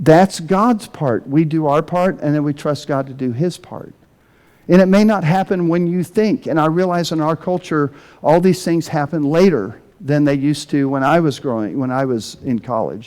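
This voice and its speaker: A man with a plain, everyday voice talks at a moderate pace, his fairly high pitch showing ordinary variation, on a very clean recording with a silent background. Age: 60s. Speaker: pastor. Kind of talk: sermon.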